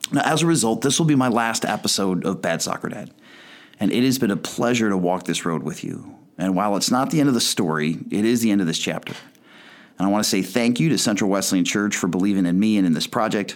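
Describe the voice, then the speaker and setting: Talking at a very fast pace, a man with an American accent uses a fairly low pitch and lively intonation. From US Midwest, Chicago suburbs. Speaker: podcast host. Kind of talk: podcast monologue.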